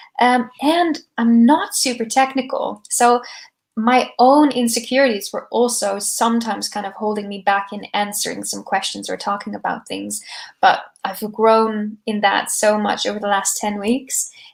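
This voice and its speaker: A woman with a fairly high pitch and ordinary pitch variation speaks at a moderate pace with big swings in loudness, on a very clean recording with a silent background. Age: 20s. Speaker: startup founder. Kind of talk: interview.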